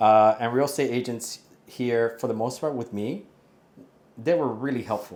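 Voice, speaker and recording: A man with a Spanish accent talks at a moderate pace and medium pitch, his intonation fairly even and broken by long, frequent pauses. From Puerto Rico and Miami. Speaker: expat property buyer. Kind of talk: casual interview. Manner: casual, with fillers and restarts.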